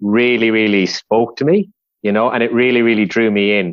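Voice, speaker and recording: The recording is dry and close with no echo as a man with an Irish accent talks at a moderate pace and medium pitch. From west of Ireland. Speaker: civil engineer, project manager. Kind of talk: podcast interview. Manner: conversational with frequent fillers.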